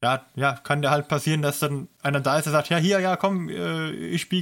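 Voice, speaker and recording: On a very clean recording with a silent background, a man with a normal speaking voice talks at a moderate pace, with fairly high pitch and ordinary pitch variation. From southern Germany. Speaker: podcast co-host. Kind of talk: casual chat.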